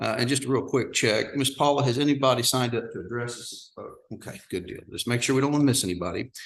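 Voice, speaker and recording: With a Texan accent, a man at medium pitch talks at a very fast pace. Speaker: county judge chairing meeting. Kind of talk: public meeting chairing. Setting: courtroom meeting with audience. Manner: loud.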